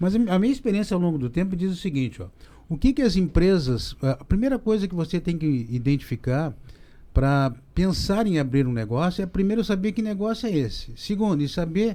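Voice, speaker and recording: With a dark, mellow tone, a man talks at a fairly quick pace, his high pitch making very wide swings. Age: 60s. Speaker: business professor. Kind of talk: podcast discussion.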